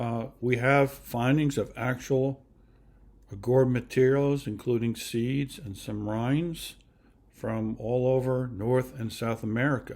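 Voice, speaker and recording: A man talks very slowly, his medium pitch held in fairly even intonation. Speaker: gourd craft presenter and author. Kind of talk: slide presentation lecture. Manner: halting, many fillers.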